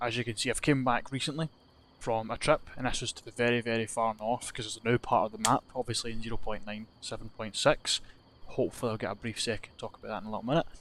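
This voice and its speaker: Speaking very fast in a Scottish accent, a man keeps a medium pitch and a monotone, flat intonation. The recording is very clean, with a silent background. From Scotland. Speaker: gaming youtuber. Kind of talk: gameplay commentary. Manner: casual, rambling with fillers.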